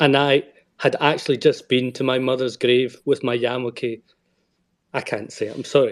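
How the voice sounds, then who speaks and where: A man talks at a medium pitch and moderate pace. His intonation is monotone and flat. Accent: Scottish. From Scotland. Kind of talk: personal testimony in an online audio space. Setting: online audio space.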